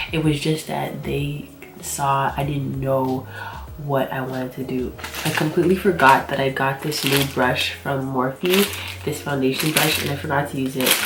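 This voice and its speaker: Against noticeable background noise, a woman talks at a moderate pace in a very deep, low pitch with ordinary pitch variation. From Nigerian. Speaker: graphic designer. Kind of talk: casual talk to camera.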